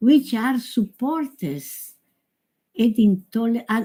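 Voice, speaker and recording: A woman with an Italian accent and lively intonation at a very slow pace, in a very clean recording with a silent background. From Italy. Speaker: yoga teacher. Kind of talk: conference talk. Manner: halting.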